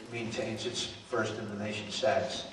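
Amid audible room echo and light background noise, a man speaks at a moderate pace with ordinary pitch variation. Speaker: politician. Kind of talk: campaign town hall speech. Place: hall. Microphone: handheld.

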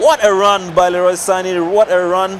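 Noticeable background noise sits behind a man whose voice is high in pitch. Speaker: esports shoutcaster. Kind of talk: live esports match commentary.

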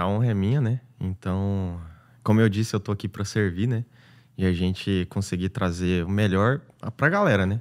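A man speaks in a goiano accent at a moderate pace and fairly low pitch, with fairly even intonation. The background is quiet. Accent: goiano accent, often taken for mineiro. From Goiás, Brazil. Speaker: paid traffic specialist, digital entrepreneur; podcast guest. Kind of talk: casual interview chat. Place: studio. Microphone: studio mic.

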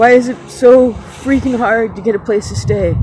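A woman's voice, dry with no echo, over clear background music. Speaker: vlogger. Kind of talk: casual vlog chat. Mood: upset, grieving, frustrated. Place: street. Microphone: phone near.

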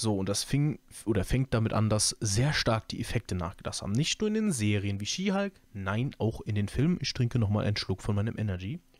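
A man with a normal speaking voice talks at a fairly quick pace and fairly low pitch, with hardly any pauses, on a very clean recording with a silent background. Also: ordinary pitch variation. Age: 20s. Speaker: YouTube podcaster, film and series commentator. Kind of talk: casual solo podcast monologue. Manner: relaxed, many filler sounds.

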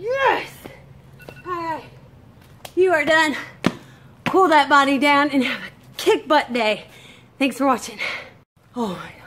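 Light background noise sits behind a woman with a high pitch and lively intonation. She talks at a fairly slow pace with long, frequent pauses. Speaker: fitness instructor. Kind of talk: workout tutorial chat. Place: garden. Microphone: phone near.

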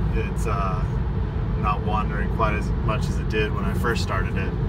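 Loud background noise sits behind the speech. A man talks at a moderate pace. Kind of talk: casual vlog chat. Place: car. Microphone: phone near.

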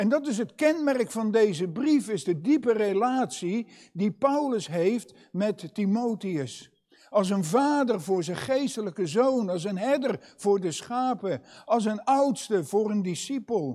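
Against a quiet background, a man with a high pitch and a dark, mellow tone speaks at a very slow pace with lively intonation. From Netherlands, Katwijk; Netherlands. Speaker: preacher. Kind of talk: sermon. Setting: church. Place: church. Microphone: lapel.

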